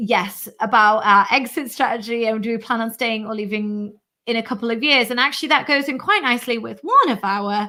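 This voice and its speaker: The tone is animated. It also comes across bright and sharp. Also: woman. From UK. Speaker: YouTuber. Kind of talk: live stream chat. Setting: live stream.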